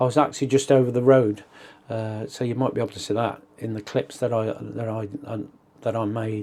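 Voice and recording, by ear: A fairly quick pace and a slightly mellow tone, with little pitch movement. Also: man, fairly low pitch for a man.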